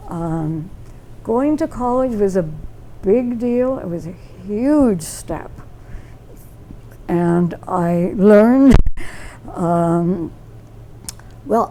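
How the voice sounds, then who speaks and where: A woman with an American accent speaks very slowly at a medium pitch, with lively intonation and long, frequent pauses. The room echo is audible, and there is noticeable background noise. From Michigan (Taylor, Detroit area), raised by Appalachian parents. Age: 90s. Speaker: interviewee, local elder. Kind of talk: casual interview. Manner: halting, many fillers.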